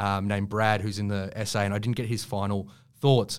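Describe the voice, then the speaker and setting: In a very clean recording with a silent background, the speaker is a man with an Australian accent. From Queensland, Australia. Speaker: writer and journalist. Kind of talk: casual interview. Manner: halting, with many fillers and restarts.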